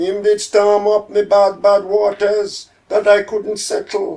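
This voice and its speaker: A man with a Jamaican accent speaks very slowly in a high voice. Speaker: poet. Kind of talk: poetry reading. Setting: home.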